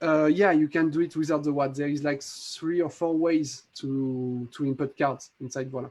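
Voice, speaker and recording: A man's fairly high voice in a French accent, with fairly even intonation, a moderate pace, hardly any pauses, and a quiet background. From France. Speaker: magic app creator. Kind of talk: live demo tutorial. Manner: halting.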